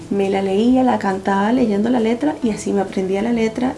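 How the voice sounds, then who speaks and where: A woman speaks in a Venezuelan accent with ordinary pitch variation. Noticeable background noise is present. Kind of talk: casual talk to camera.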